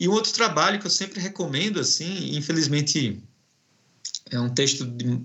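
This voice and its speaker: A man with a northeastern Brazilian accent, lively intonation and a moderate pace. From Brazilian Northeast. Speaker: professor. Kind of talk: academic interview. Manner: halting.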